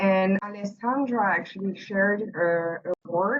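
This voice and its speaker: A woman with a French accent talks at a fairly slow pace with ordinary pitch variation. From France. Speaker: workshop participant. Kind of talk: group discussion report-back. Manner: halting, many fillers.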